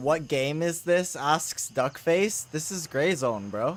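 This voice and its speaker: A man at a fairly high pitch and a very slow pace, over noticeable background noise. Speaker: streamer. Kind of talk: casual.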